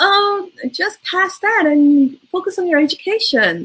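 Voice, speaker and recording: A woman with a Turkish accent, a bright, sharp tone and a fairly slow pace. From Turkey, Istanbul. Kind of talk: interview.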